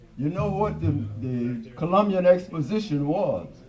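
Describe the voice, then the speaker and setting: Audible room echo surrounds a man who talks at a fairly slow pace, his pitch swinging very widely. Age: 80s+. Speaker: jazz musician performing live. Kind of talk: onstage talk between songs. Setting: live performance at a record store with audience. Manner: halting, with fillers.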